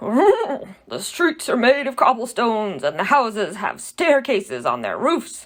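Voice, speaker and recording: At a fairly slow pace, the speaker uses a put-on character voice with a fairly high pitch. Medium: read story.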